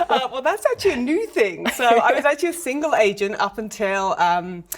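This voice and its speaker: A woman's high-pitched voice in an English accent, fairly quick, with very wide pitch swings and noticeable background noise. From England, London. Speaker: real estate agent. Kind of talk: TV interview. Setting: studio.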